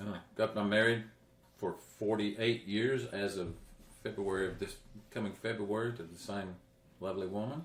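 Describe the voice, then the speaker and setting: Someone with a Central Texas accent talks at a moderate pace with fairly even intonation. Long, frequent pauses break up the speech. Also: man, fairly low pitch for a man. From Texas, Coryell County. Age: 60s. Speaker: county judge candidate. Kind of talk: interview. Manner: halting.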